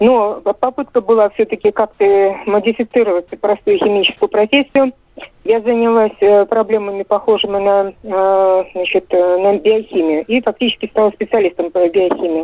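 Delivered at a moderate pace with very even loudness, this is an ordinary speaking voice with ordinary pitch variation. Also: woman, medium pitch for a woman. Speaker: journalist. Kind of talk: phone-in call. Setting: phone call.

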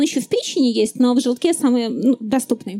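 At a moderate pace, a woman speaks with a high pitch, lively intonation and a dark, mellow tone. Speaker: neuroscientist and science popularizer. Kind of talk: live public talk. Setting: stage with audience at festival.

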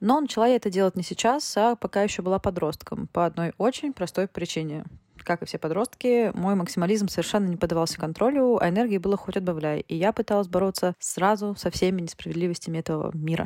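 A woman with a dark, mellow tone speaks very fast at a medium pitch, with ordinary pitch variation. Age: 20s. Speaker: technical writer and volunteer. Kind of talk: recorded voice message testimony.

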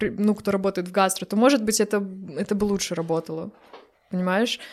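A woman with a fairly high pitch, ordinary pitch variation and an ordinary speaking voice, in a very clean recording with a silent background. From Belarus, Brest. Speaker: pastry chef and baker. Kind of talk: casual interview.

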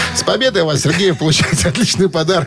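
Noticeable background noise sits under this voice. The speech runs at a fairly quick pace with ordinary pitch variation. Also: man. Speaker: radio host. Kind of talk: casual chat. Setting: studio.

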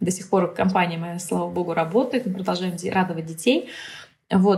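Somewhat breathy, a woman's voice rests at a medium pitch. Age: 30s. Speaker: business psychologist and mentor. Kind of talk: casual interview chat.

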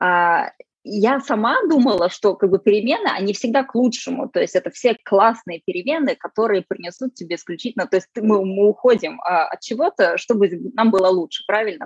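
A woman with a plain, everyday voice speaks at a fairly quick pace, fairly high in pitch, with lively intonation. The sound is dry and close, with no echo. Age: 30s. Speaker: sustainability consultant, former geneticist. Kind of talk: casual interview.

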